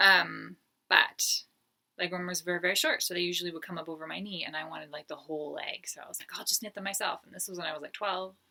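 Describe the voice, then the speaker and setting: Very fast and bright, sharp in tone, a woman with a fairly low pitch and ordinary pitch variation speaks with big swings in loudness. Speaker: knitting podcaster and pattern designer. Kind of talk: casual chat. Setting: home, in front of yarn stash.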